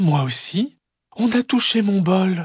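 Here is a put-on character voice at a middle pitch. The pace is fairly slow.

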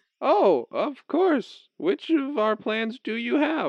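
The voice is high in pitch and moves at a very slow pace. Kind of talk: comic sketch acting. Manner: cheery scripted politeness, then wary.

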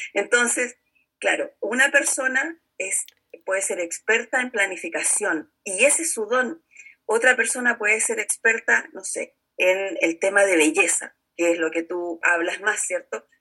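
Lively intonation marks this woman's Chilean accent, her voice bright and sharp. She talks at a fairly slow pace with fairly high pitch. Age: 50s. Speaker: network marketing entrepreneur and teacher. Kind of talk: interview.

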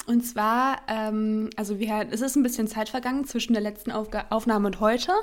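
The woman's voice is fairly high in pitch, with fairly even intonation. She talks at a moderate pace. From near Hannover, Germany. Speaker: podcast co-host. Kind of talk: casual chat. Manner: hesitant, many fillers.

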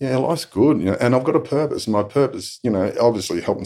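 With lively intonation, a man speaks in a strong Australian accent. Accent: broad Australian. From Australia, western Sydney. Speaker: abuse survivor and advocate. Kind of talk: testimony. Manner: halting.

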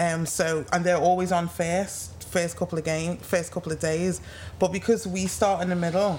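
The speaker talks at a moderate pace, somewhat breathy, with flat, monotone intonation. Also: woman, fairly low pitch for a woman. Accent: English. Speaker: retired sprinter. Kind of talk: casual chat. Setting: live in-person recording at sports venue.

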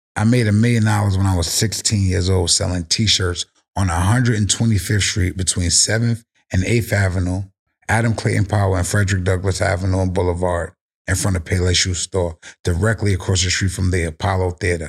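A somewhat breathy man with a very deep, low pitch talks at a fairly quick pace and very even loudness, in a very clean recording with a silent background. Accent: New York. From South Bronx, New York City. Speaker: cannabis brand founder. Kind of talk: casual chat. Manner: animated.

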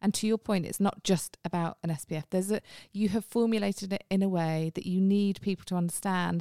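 A woman's dark, mellow voice with a British accent, very fast pace and ordinary pitch variation, in a very clean recording with a silent background. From England. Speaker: podcast host, marketing executive. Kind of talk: casual chat. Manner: chatty.

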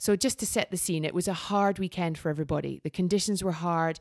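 A woman with a Scottish accent talks in a fairly low voice with fairly even intonation. The recording is very clean and dry, close with no echo, over a silent background. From Scotland. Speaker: sports event commentator. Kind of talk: casual chat; live commentary.

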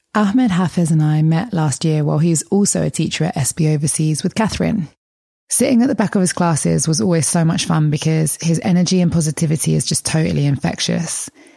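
In a very clean recording with a silent background, a woman speaks very fast in a very deep, low, somewhat breathy voice with a dark, mellow tone, very even loudness and ordinary pitch variation. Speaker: podcast host. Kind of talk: scripted narration and interview.

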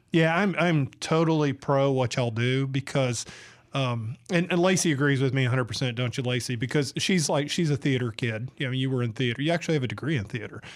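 With a Southern US accent, the speaker talks at a very fast pace, keeping loudness very even and pitch variation ordinary. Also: man, medium pitch for a man. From Georgia, US South. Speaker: radio host and editorial cartoonist. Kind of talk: casual chat. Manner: animated.

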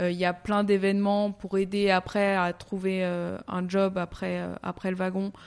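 On a very clean recording with a silent background, a woman speaks at a fairly slow pace in a medium pitch with monotone, flat intonation. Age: 30s. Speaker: coding school staff. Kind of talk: interview.

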